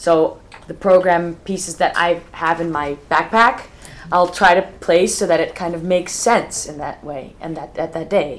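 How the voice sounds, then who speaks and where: Noticeable background noise accompanies a woman speaking at a moderate pace. Her intonation is fairly even, but her loudness swings widely. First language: not English. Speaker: festival organizer. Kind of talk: casual chat. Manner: halting.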